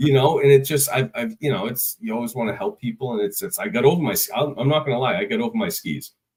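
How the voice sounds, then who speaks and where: A man with a Boston accent at a very fast pace, with very wide pitch swings and hardly any pauses. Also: medium pitch for a man. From Boston area, Massachusetts. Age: 30s. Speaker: construction executive and call firefighter. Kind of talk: casual podcast interview.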